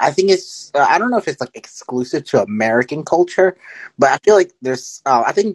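The man talks at a fairly quick pace in a dry, close sound with no echo. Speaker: caller. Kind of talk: casual chat. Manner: halting.

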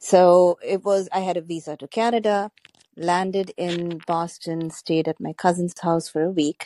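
A woman with an Indian accent speaks at a fairly low pitch and a fairly slow pace, her dark, mellow tone carrying fairly even intonation, in a dry, close sound with no echo against a quiet background. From Gujarat, India. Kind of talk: casual chat.

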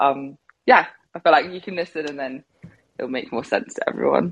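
Speaking with a southern English accent, a woman keeps a moderate pace. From England, Devon. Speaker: R&B singer. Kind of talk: casual interview. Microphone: clear line.

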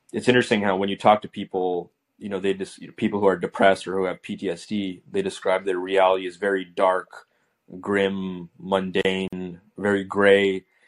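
Against music in the background, a man talks at a moderate pace in a very deep, low voice with monotone, flat intonation and big swings in loudness, the sound dry and close with no echo. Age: 20s. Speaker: student caller. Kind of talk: casual interview. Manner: halting.

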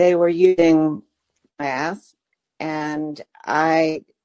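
Over a quiet background, a woman with a fairly low pitch speaks in an American accent. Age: 80s. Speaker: book author, retired teacher. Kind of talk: casual interview chat.

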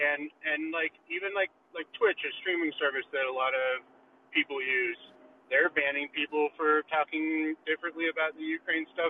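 The pace is moderate and the intonation fairly even. It is an ordinary speaking voice. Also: man, fairly high pitch for a man. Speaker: caller. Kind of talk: call-in question and comment. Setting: app call-in. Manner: rambling, uses filler words.

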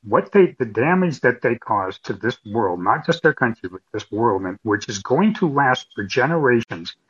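A man's medium-pitched, somewhat breathy voice at a moderate pace, with very wide pitch swings, a dry, close sound with no echo, and a quiet background. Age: 60s. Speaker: caller. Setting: phone call. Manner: halting.

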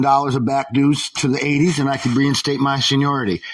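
The speech comes at a very fast pace with monotone, flat intonation. Noticeable background noise runs underneath. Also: man. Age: old. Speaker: caller, former Teamster. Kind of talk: call-in conversation.

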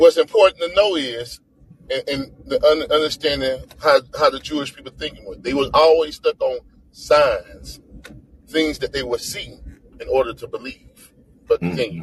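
A man at a moderate pace, big swings in loudness, dry, close sound with no echo. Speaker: co-host and Bible teacher. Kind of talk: casual Bible study talk.

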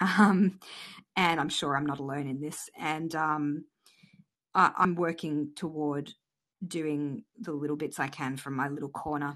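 A woman's very deep, low voice with fairly even intonation at a fairly slow pace, over a quiet background. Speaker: caller.

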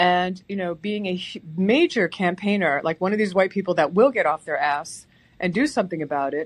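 A woman's unremarkable speaking voice at medium pitch, with an American accent, ordinary pitch variation and a fairly quick pace, over a quiet background. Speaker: caller.

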